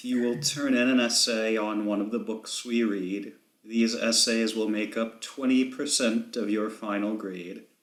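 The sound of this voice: The unforced reading voice varies in pitch in an ordinary way.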